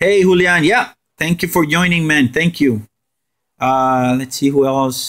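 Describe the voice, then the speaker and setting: A man speaks at a fairly slow pace with a Spanish accent. His pitch is fairly high. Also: ordinary pitch variation. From Puerto Rico. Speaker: gaming streamer. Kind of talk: live stream gameplay commentary. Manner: animated.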